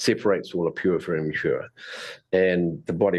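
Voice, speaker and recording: Against a quiet background, a man with a New Zealand accent speaks at a very deep, low pitch with ordinary pitch variation. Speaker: presenter, teacher. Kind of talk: informal lecture. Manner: fast talker.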